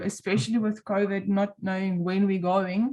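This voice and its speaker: A woman with an Afrikaans accent speaks at a moderate pace in a dark, mellow, somewhat breathy voice of medium pitch, her intonation monotone and flat. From South Africa. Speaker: volunteer online group moderator. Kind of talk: interview.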